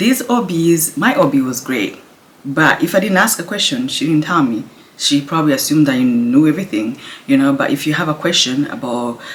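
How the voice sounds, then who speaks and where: A woman with a very deep, low pitch and very wide pitch swings, amid noticeable background noise. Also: fairly quick pace. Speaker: pregnant mother vlogger. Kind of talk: casual talk to camera. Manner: quiet, low voice.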